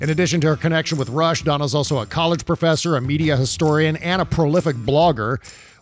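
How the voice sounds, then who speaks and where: Music plays behind a man with an American accent who talks at a very fast pace with hardly any pauses. His pitch is fairly high, with ordinary pitch variation. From United States. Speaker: podcast host. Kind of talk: casual interview and ad reads. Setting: video call.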